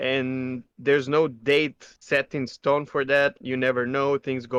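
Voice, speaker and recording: The man speaks at a fairly slow pace with a non-native accent and a medium pitch. The sound is dry and close, with no echo. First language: not English. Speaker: gaming podcast co-host. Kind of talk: casual chat.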